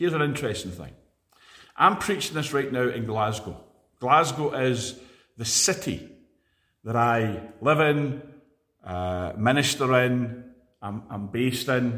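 Speaking fairly slowly at a medium pitch, a man with a Scottish accent uses lively intonation and a bright, sharp tone. He leaves long, frequent pauses. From Scotland (Edinburgh). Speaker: preacher. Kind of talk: sermon.

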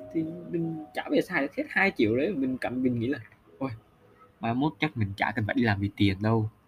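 A man with a medium-pitched, somewhat breathy voice speaks fairly quickly, his intonation lively. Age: 20s. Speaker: solo podcaster, recent intern. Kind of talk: casual personal monologue.

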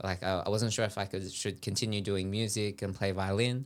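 With an Australian accent, a man speaks at a moderate pace in a fairly low pitch with fairly even intonation. The recording is very clean, the background silent. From Sydney, Australia. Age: 20s. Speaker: dancer. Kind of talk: casual chat. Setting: studio.

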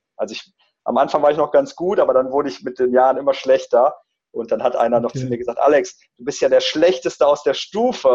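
A man talking at a fairly quick pace. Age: 30s. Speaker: entrepreneur and coach, digital nomad. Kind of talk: interview. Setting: video call.

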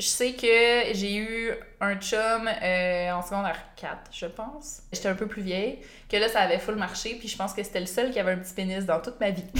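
A woman with a Quebec accent speaks at medium pitch and a moderate pace, her intonation fairly even, with audible room echo. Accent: Québécois French. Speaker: YouTuber. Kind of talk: casual chat.

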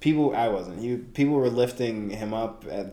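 A man talks at a moderate pace in a medium pitch with fairly even intonation. Room echo is audible. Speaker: podcast co-host. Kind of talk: casual chat.

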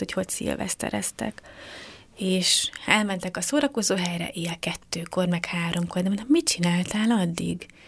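A woman with a plain, everyday voice speaks at a fairly quick pace in a medium pitch, with ordinary pitch variation. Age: 30s. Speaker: youth office director, social pedagogue. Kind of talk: radio interview.

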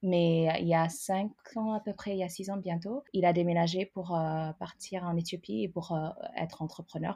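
A woman with an unremarkable speaking voice talks at a fairly low pitch and moderate pace, with ordinary pitch variation. The background is quiet. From Ethiopia. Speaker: immigrant sharing her story. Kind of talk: interview.

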